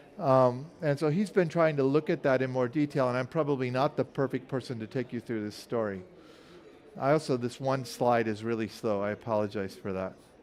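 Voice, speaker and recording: A man talks fairly quickly, his voice at a medium pitch that rises and falls in an ordinary way. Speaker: scientist presenting research. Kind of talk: conference talk with slides. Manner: fast; hesitant, with fillers.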